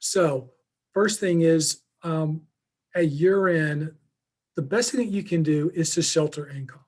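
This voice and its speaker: Speaking in a Southern US accent, a man with a fairly high pitch and ordinary pitch variation goes at a fairly slow pace with long, frequent pauses. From Alabama. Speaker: financial advisor and accountant. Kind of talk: webinar presentation.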